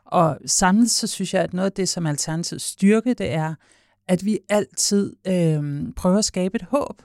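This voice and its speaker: On a very clean recording with a silent background, a woman of medium pitch speaks at a very slow pace with ordinary pitch variation. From Copenhagen, Denmark. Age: 40s. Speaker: party leader. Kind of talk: interview. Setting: studio.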